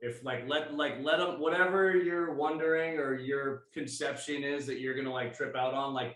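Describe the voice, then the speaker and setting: An unremarkable speaking voice, this man's is fairly high and fairly even in intonation. He keeps a moderate pace with hardly any pauses. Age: 40s. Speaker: podcast host. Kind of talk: casual chat.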